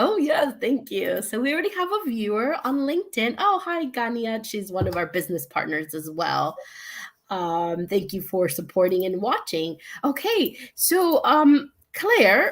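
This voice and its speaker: With an American accent, a woman speaks at a fairly slow pace in a fairly high pitch, her voice swinging very widely in pitch. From United States. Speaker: online show host, digital business owner. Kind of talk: casual live-stream interview. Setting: live stream from living room.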